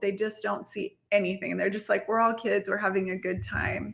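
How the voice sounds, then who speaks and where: Noticeable background noise accompanies the recording. Over it, a woman talks at a moderate pace. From Mexico and Texas (grew up bilingual, moved to Texas as a child). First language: Spanish. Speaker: marketing entrepreneur, CEO and podcast host. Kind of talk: podcast interview.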